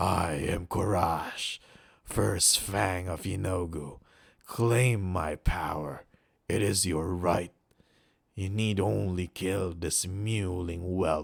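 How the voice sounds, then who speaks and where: A man performs a put-on character voice, very deep and guttural, at a very slow pace. The recording is very clean with a silent background. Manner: menacing.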